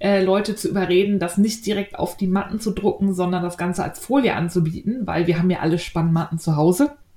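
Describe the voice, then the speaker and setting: Speaking at a fairly quick pace with hardly any pauses, a woman uses a medium-pitched, dark, mellow, somewhat breathy voice with ordinary pitch variation. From Berlin. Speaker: podcast host, knitting and sewing blogger. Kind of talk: casual chat.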